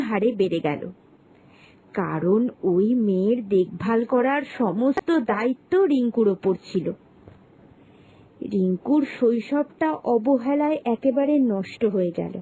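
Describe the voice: The voice has a dark, mellow tone and lively intonation at a fairly slow pace. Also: woman.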